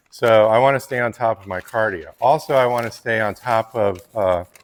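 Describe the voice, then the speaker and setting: A man at medium pitch and moderate pace, in a normal speaking voice. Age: 50s. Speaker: fitness vlogger and landscaper. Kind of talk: casual tutorial vlog.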